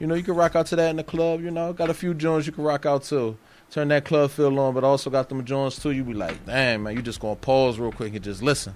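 At a very fast pace and with hardly any pauses, a man speaks in a fairly high voice with ordinary pitch variation. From Philadelphia area, US. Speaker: rapper. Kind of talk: casual interview. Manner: halting, many fillers.

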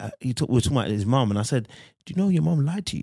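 A man in a London accent talks at a very fast pace with very wide pitch swings, recorded very cleanly over a silent background. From London, England. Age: 30s. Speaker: podcast guest. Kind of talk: casual chat.

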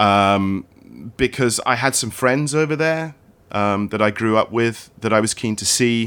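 Speaking at a fairly slow pace in a British accent, a man with a medium pitch and ordinary pitch variation comes through on a very clean recording with a silent background. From UK, partly raised in Australia and Hong Kong. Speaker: cameraman and creative director. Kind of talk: interview conversation. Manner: storyteller.

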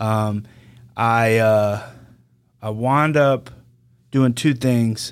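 A man's very slow speech at medium pitch with a Louisiana accent, fairly even intonation, and long, frequent pauses. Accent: Louisiana Southern. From Louisiana, Denham Springs. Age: 30s. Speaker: former prison inmate, sign language interpreter. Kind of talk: interview, personal story.

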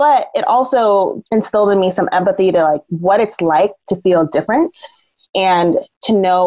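A woman talks with an American accent. Hers is a plain, everyday voice. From Southern Oregon, US. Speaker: peacebuilding communications professional. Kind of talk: interview.

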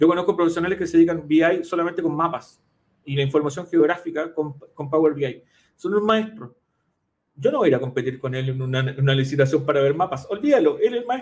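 With lively intonation and a fairly quick pace, this man's voice runs fairly high in pitch. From Chile, Concepción area. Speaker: data analytics consultant and accountant. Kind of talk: interview. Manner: halting, frequent fillers.

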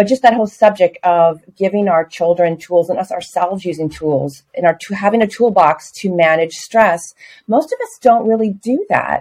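With hardly any pauses, a woman talks in an unremarkable speaking voice. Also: medium pitch for a woman, ordinary pitch variation, moderate pace. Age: 60s. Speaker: yoga student. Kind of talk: casual chat.

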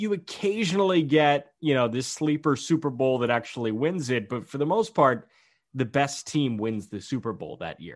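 Over a quiet background, the voice moves at a moderate pace with very wide pitch swings. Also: man, fairly high pitch for a man. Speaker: baseball podcast host. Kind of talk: casual chat.

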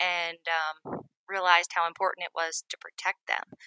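A woman with an American accent talks at a fairly slow pace in a fairly low voice with a bright, sharp tone. Her pitch varies in an ordinary way, and the sound is dry and close with no echo. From US Northeast (western Maine). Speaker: wilderness nonprofit director. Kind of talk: interview conversation. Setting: home office, remote interview.

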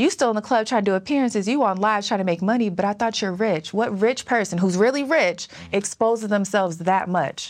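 A woman with an unremarkable speaking voice talks at medium pitch and a fairly quick pace. She uses ordinary pitch variation and hardly any pauses. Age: 30s. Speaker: financial coach. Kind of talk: casual interview chat.

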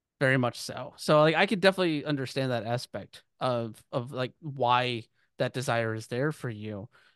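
Here is an ordinary speaking voice: a man with an American accent at a medium pitch, moderate pace and ordinary pitch variation. The sound is dry and close with no echo, over a quiet background. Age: 30s. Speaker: podcast host. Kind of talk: casual interview conversation.

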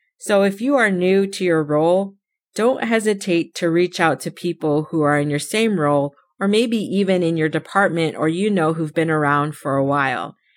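A woman with an ordinary speaking voice and an American accent, fairly low in pitch, with ordinary pitch variation, at a moderate pace, in a very clean recording over a silent background. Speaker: podcast host. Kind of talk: solo podcast monologue, personal storytelling.

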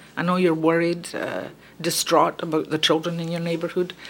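Noticeable background noise is audible in the clip. A woman talks over it at a fairly low pitch. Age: old. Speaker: retired nurse, neighborhood activist. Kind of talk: interview. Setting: her apartment.

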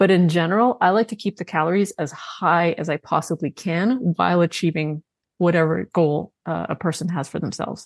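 Heard on a very clean recording with a silent background and a dry, close sound with no echo, a woman with a Canadian accent has an unremarkable speaking voice, a fairly low pitch, ordinary pitch variation and a fairly quick pace. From Canada. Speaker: nutrition coach and author. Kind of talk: interview.

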